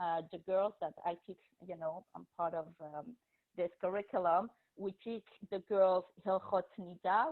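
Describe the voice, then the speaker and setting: A woman speaks in a French accent at a moderate pace. Her pitch is fairly low. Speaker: teacher and school administrator. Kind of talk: presentation to parents.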